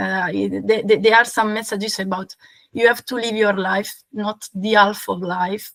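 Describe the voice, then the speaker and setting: At a moderate pace, a woman speaks with medium pitch and fairly even intonation. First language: not English. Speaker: fan of the actor. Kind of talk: casual chat. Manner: halting, many repetitions and fillers.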